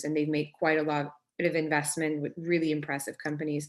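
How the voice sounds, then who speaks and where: Very fast speech in a French Canadian accent against a quiet background. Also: woman. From Quebec, Canada. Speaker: startup founder and CEO. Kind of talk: workshop talk.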